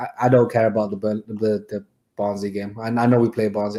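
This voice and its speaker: A man talks at a very fast pace in a fairly low voice. His tone is dark and mellow, and his intonation is monotone and flat. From Manchester. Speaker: football fan channel host. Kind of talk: casual chat.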